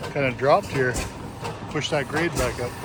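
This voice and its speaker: In a relaxed tone, a man speaks at a moderate pace with ordinary pitch variation over noticeable background noise. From Minnesota Iron Range. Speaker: vlogger at engine show. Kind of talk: casual vlog narration. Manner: relaxed, chatty.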